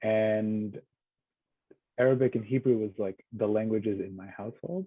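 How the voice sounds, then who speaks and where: Speaking at a moderate pace, a man with an American accent keeps his intonation fairly even. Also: fairly low pitch for a man, big swings in loudness. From Israel and West Bank, then Queens, New York from age 12. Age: 30s. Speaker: book contributor. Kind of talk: casual conversation. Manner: hesitant, many fillers.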